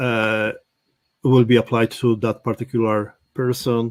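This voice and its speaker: In dry, close sound with no echo, a man with a non-native accent speaks at a medium pitch, a fairly slow pace and fairly even intonation. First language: not English. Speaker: real estate automation trainer. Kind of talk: live workshop tutorial. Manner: halting.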